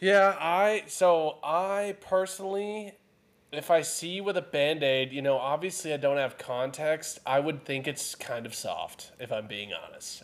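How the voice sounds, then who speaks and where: A man with a plain, everyday voice and an American accent speaks at a fairly slow pace, fairly high in pitch, with lively intonation. The recording is very clean, with a silent background. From Texas. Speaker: podcast co-host. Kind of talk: casual banter.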